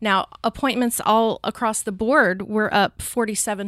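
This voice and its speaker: In a plain, everyday voice, a woman speaks at a fairly slow pace, captured in a very clean recording with a silent background and a dry, close sound with no echo. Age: 40s. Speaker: pregnancy center coordinator. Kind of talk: interview.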